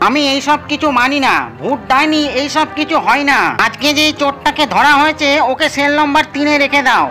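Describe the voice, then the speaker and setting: A cartoonish character voice at a moderate pace, with clear background noise. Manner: firm, authoritative.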